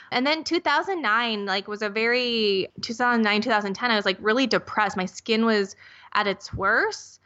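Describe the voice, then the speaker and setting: A woman with an American accent speaks in an unremarkable speaking voice at a fairly high pitch. Her pace is moderate, with ordinary pitch variation. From US Midwest (Minnesota). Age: 30s. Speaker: skincare company founder. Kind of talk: interview.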